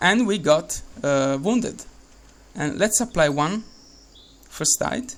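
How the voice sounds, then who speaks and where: In an Italian accent, a man speaks at a very slow pace with long, frequent pauses. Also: lively intonation. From Italy. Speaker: game developer. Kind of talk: tutorial. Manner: halting, many fillers and repeats.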